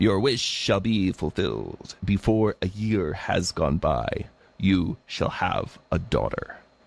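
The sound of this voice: Putting on a croaky character voice, a man speaks fairly low and at a fairly slow pace.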